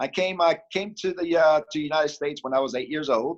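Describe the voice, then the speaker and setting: Recorded with a dry, close sound and no echo, a man with a Spanish accent speaks with ordinary pitch variation. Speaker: mayor. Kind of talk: interview. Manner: upbeat, friendly.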